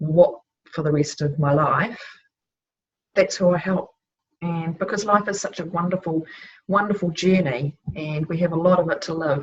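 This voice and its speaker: A speaker with a New Zealand accent talks at a moderate pace, slightly breathy. Long pauses come often, and the pitch moves in an ordinary way. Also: woman, fairly low pitch for a woman. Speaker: life transitions coach. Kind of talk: casual conversation.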